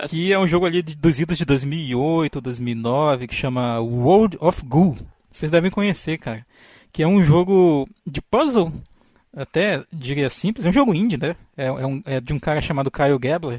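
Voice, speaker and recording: A man with a plain, everyday voice talks at a fairly slow pace over a quiet background. His fairly high pitch shows ordinary variation. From Brazil, interior of Amazonas (Tefé). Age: 30s. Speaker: podcaster, biologist with a doctorate. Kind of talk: casual chat.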